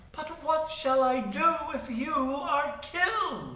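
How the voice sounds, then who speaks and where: A put-on character voice at a high pitch moves at a very slow pace, with a clear echo. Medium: stage play. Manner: nervous, stammering.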